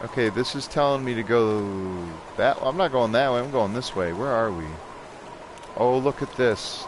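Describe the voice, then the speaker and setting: A man's voice at a moderate pace over noticeable background noise. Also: medium pitch for a man, ordinary pitch variation. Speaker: gaming streamer. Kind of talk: live gameplay commentary. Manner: sarcastic.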